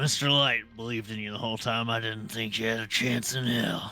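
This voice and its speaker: Putting on a raspy character voice, a man speaks at a fairly quick pace and medium pitch with monotone, flat intonation while faint music plays behind him. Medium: virtual streamer. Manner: chuckling, easygoing.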